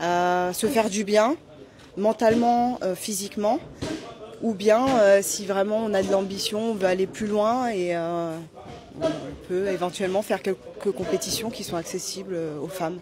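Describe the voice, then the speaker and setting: Over noticeable background noise, a woman talks at a fairly slow pace with long, frequent pauses, using a medium pitch and ordinary pitch variation. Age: 30s. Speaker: amateur boxer. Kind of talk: interview. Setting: boxing gala venue. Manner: halting, many fillers.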